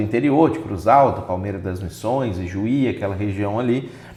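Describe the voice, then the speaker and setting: A man speaks at a moderate pace with ordinary pitch variation. Audible room echo and noticeable background noise surround the voice. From Minas Gerais, Brazil. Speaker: pastor and lawyer. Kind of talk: interview.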